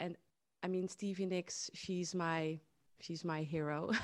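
A woman's fairly low, monotone, flat voice with a Dutch accent. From southern Netherlands. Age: 30s. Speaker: singer-songwriter. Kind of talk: interview. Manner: halting.

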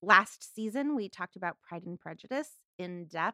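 The recording is very clean, with a silent background and a dry, close sound with no echo. A woman with an American accent speaks in a bright, sharp tone. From US West Coast, Los Angeles, San Fernando Valley. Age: 40s. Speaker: podcast host and atheist chaplain. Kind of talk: casual chat.

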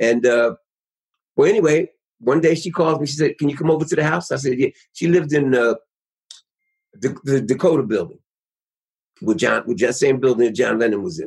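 A man's fairly high, somewhat breathy voice at a fairly quick pace, with ordinary pitch variation and long, frequent pauses. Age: 70s. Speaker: musician. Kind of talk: interview storytelling. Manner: halting.

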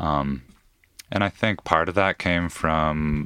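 A man's very deep, low voice with vocal fry and fairly even intonation, in an American accent, dry and close with no echo, on a very clean recording with a silent background. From Washington state, US Pacific Northwest. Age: 30s. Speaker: climber and climbing coach. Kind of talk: casual chat. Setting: studio.

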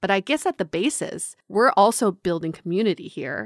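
Recorded very cleanly against a silent background, a woman speaks at a moderate pace in a medium pitch, the sound dry and close with no echo. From grew up outside the US, moved as child. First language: not English. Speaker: podcast host, dating sociologist. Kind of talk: casual chat; read-out ad.

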